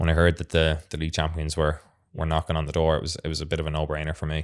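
A man with a South Dublin accent speaks in a very deep, low voice and a flat monotone, recorded very cleanly against total silence. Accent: South Dublin Irish. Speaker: professional footballer. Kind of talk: casual interview. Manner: halting, many fillers.

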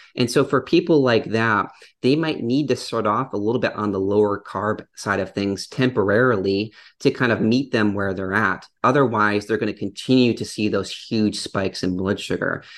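Against a quiet background, a man speaks in a normal speaking voice, fairly low-pitched, at a moderate pace with ordinary pitch variation. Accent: American. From US Midwest, Upper Peninsula of Michigan. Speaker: dietitian. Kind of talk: casual interview chat.

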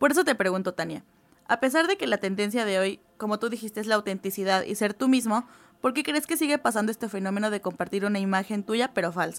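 A woman at a very fast pace in a fairly high pitch, with ordinary pitch variation. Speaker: university student. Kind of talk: student podcast presentation.

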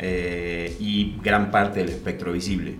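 Someone talks at a very slow pace over noticeable background noise. Audible echo from the room carries through. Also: man. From Argentina, Mendoza. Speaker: winemaker. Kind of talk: interview. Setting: studio.

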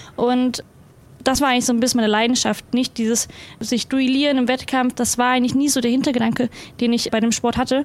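Monotone and flat, a woman speaks at a very fast pace in a high pitch with very even loudness. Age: 20s. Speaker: para athlete. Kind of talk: casual chat.

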